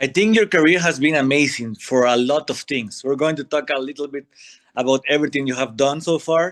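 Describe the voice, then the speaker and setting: With a non-native accent, a man talks at a fairly quick pace in a fairly high pitch with ordinary pitch variation, the sound dry and close with no echo. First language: not English. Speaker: wrestling podcast co-host. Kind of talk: interview.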